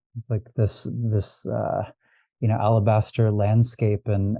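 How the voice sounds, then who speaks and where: Fairly low-pitched male voice with a dark, mellow tone, somewhat breathy, with a West Coast US accent, monotone and flat, at a fairly slow pace against a quiet background. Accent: General American, West Coast. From US West Coast, Los Angeles. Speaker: astrologer and diviner. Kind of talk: podcast interview. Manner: halting, many fillers and repeats.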